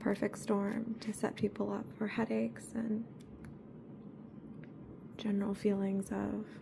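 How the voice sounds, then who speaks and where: A soft-spoken woman talks at a medium pitch with monotone, flat intonation. Her speech has long, frequent pauses. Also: fairly slow pace. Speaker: ASMR creator. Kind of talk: ASMR soft-spoken chat.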